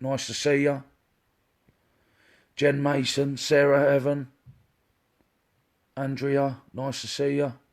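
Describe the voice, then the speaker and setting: With an English accent, a man speaks very slowly at a fairly high pitch, his intonation flat and monotone, with long, frequent pauses. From England. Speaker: psychic medium. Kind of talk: live-stream psychic reading. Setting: Facebook live stream.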